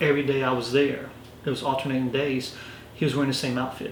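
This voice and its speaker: A man speaks in a Lowcountry South Carolina accent, with monotone, flat intonation. Audible room echo and noticeable background noise fill the recording. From US South, Orangeburg, South Carolina. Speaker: police lieutenant. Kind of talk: interview. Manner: words run together.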